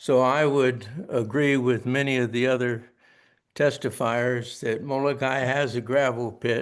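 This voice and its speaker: Over a quiet background, a man at medium pitch talks at a fairly slow pace in a monotone, flat intonation. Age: 80s+. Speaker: public testifier, retired planning commission chair. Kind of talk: public testimony. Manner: halting.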